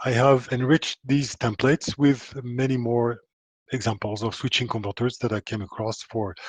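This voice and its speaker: A man speaks at a moderate pace with a strong French accent. His pitch is medium and his intonation fairly even. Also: dry, close sound with no echo. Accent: thick French. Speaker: power electronics engineer and author. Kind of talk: technical presentation. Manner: hesitant, many fillers.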